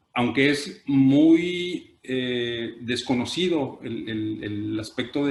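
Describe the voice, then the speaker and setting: The male voice sits at a medium pitch. Its rise and fall is ordinary. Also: hardly any pauses. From Mexico, Tijuana (Baja California border). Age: 50s. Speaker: art collector and gallery director. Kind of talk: panel discussion. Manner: halting, many fillers.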